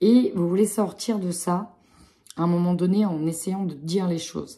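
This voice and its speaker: The voice is somewhat breathy with a dark, mellow tone. It moves at a moderate pace with ordinary pitch variation. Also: woman. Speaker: tarot card reader. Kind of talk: tarot reading.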